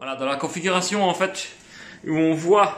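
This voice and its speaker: With a strong Liège accent, a man speaks at a high pitch with ordinary pitch variation. Noticeable background noise and audible room echo fill the recording. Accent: fairly strong Liège (Belgian French). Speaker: car detailing youtuber. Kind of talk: product demo tutorial. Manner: hesitant, many fillers.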